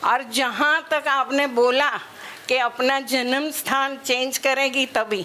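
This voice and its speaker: A woman with a high-pitched, raised and projected voice talks in a flat monotone at very even loudness over noticeable background noise. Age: 70s. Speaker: summit participant. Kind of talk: personal testimony.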